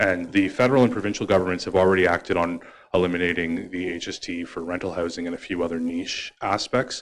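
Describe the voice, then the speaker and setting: In a very clean recording with a silent background, a man with a Canadian accent speaks very fast in a very deep, low voice with fairly even intonation. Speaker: town councillor. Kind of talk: reading aloud a motion; council debate speech. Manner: fast reading.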